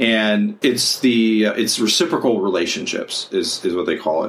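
The speaker is a man. He has an ordinary speaking voice. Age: 40s. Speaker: podcast host and counselor. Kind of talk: casual chat.

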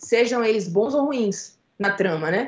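In a plain, everyday voice, a woman speaks at a medium pitch with ordinary pitch variation. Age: 30s. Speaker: film director and screenwriter. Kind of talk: interview.

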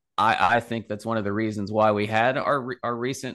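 Against a quiet background, a man with a normal speaking voice talks at a medium pitch with fairly even intonation. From West Virginia. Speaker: finance professor. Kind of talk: interview.

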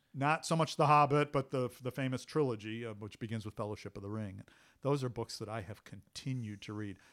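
With an American accent, an ordinary speaking voice moves at a fairly quick pace, with ordinary pitch variation and big swings in loudness, in a very clean recording with a silent background. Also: man, medium pitch for a man. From US Midwest, Cleveland, Ohio. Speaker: military historian. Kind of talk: casual interview conversation.

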